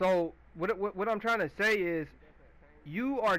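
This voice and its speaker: Bright and sharp in tone, a man talks at a moderate pace with ordinary pitch variation. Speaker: gaming video creator. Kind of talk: gameplay commentary rant. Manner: loud; halting.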